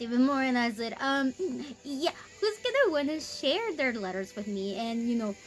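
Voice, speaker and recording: Over music in the background, a woman with an American accent talks at a moderate pace in a squeaky, high-pitched voice. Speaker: faith vlogger. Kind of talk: casual testimony. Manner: hesitant, many fillers.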